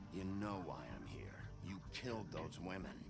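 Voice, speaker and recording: A man puts on a character voice with a very deep, low pitch. Loud background noise is present. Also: moderate pace. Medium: short film. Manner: blunt, gruff.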